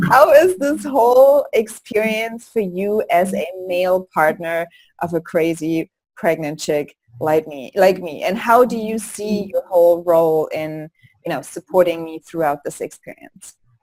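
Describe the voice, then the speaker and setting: A woman with a German accent, medium in pitch, fairly slow, with lively intonation and big swings in loudness. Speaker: birth course host and doula. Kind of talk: casual interview.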